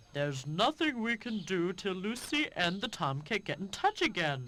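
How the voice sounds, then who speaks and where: In a put-on character voice, the speaker talks at a moderate pace around a middle pitch with very wide pitch swings. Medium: video game. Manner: slow, pondering with hums.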